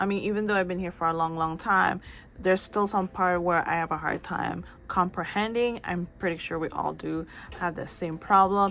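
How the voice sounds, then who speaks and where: This woman has a non-native accent and a fairly low pitch. She talks at a moderate pace with fairly even intonation. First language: not English. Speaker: book and manga YouTuber. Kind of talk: casual vlog chat. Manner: casual, slightly halting.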